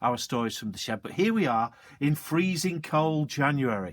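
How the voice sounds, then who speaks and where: An ordinary speaking voice comes through at a moderate pace with lively intonation. The recording is very clean, with a silent background. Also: man. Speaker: teacher. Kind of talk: casual talk to children.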